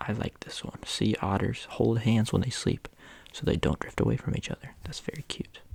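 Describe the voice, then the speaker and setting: Someone is whispering at a moderate pace in a relaxed tone. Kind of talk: ASMR fun-facts reading, casual talk to camera. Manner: soft-spoken, relaxed, reading facts.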